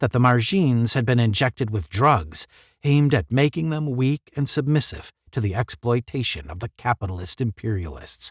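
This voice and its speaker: A voice with lively intonation and a somewhat breathy quality. The sound is dry and close with no echo, at a moderate pace. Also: man, medium pitch for a man. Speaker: audiobook narrator. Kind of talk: unedited story read-aloud with commentary.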